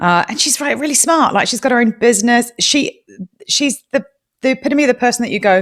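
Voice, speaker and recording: A woman with a New Zealand accent speaks at a fairly quick pace in a high voice, her pitch rising and falling in an ordinary way. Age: 40s. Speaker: true-crime podcast host. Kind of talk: interview conversation. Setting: live audio room.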